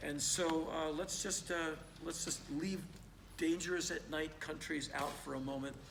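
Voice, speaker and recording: Speaking at a fairly slow pace, a man talks in a fairly high voice. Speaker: spoken word performer and travel storyteller. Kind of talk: live spoken word Q&A answer to audience. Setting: live theater. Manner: energetic, conversational, animated.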